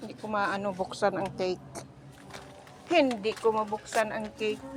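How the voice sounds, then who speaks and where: A woman's medium-pitched voice at a moderate pace, with ordinary pitch variation and big swings in loudness, over music in the background. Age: 60s. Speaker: vlogger. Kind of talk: casual vlog. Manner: animated.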